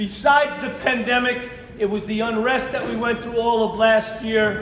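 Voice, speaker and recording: A loud man with an American accent speaks at an extremely high pitch in a monotone, flat intonation at a moderate pace, with audible room echo and noticeable background noise. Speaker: police commissioner. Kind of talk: public speech. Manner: repetitive stammers.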